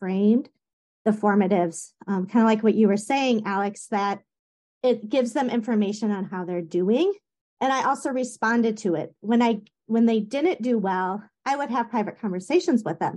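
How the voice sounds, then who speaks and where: Over a quiet background, a woman talks in an ordinary speaking voice at a moderate pace. Her pitch is fairly high, with ordinary pitch variation. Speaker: science teacher. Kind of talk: casual chat.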